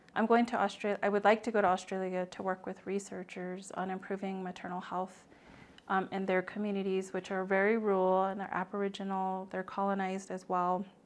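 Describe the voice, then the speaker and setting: A soft-spoken woman talks fairly quickly in an American accent. Her medium-pitched voice has a monotone, flat intonation. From Navajo Nation, US Southwest. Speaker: nonprofit founder and maternal health advocate. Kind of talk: podcast interview.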